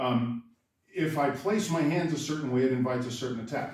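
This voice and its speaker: A man's medium-pitched voice at a fairly quick pace, with audible room echo. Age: 60s. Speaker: karate instructor. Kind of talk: tutorial. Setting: dojo. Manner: casual, conversational.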